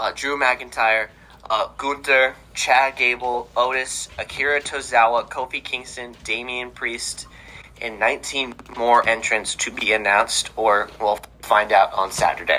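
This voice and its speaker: Fairly slow speech amid noticeable background noise. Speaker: wrestling podcast host. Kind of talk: casual podcast chat.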